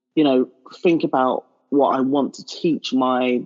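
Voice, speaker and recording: Speaking in a London accent, this woman has a very deep, low pitch. Her intonation is monotone and flat. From London, England. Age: 30s. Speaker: marketing professional and blogger. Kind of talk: interview conversation.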